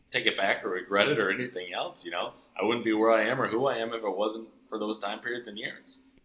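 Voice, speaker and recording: Very fast speech from a man, medium in pitch and fairly even in intonation. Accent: American. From Wisconsin, US Midwest (Sparta, near La Crosse). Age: 40s. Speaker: chef and restaurant owner. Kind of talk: interview.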